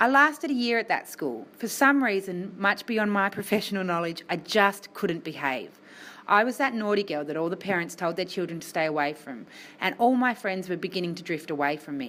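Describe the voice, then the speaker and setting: An Australian-accented woman's voice, medium in pitch and bright and sharp in tone, at a fairly quick pace with very wide pitch swings. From Tasmania, Australia. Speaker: health worker and motivational speaker. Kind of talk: speech to students.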